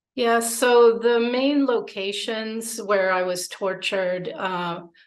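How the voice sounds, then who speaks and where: Audible room echo around a woman's very slow speech. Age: 50s. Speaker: abuse survivor. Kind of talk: testimony. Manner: halting.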